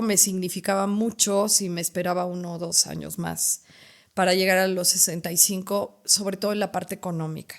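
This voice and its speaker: Delivery at a moderate pace, with monotone, flat intonation. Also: woman. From Mexico, Puebla. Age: 60s. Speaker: retired educator. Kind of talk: interview conversation. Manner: halting.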